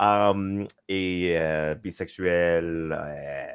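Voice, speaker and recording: This man has an English accent and a very deep, low pitch, and his intonation stays fairly even. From western Canada, Victoria. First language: English (speaking French). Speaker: panel guest, game designer. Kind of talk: panel discussion. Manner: halting.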